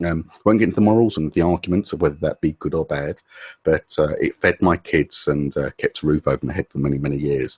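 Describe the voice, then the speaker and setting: A man with an English accent at a very fast pace, in a dry, close sound with no echo. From England. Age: 40s. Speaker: SEO specialist. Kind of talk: interview. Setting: video call.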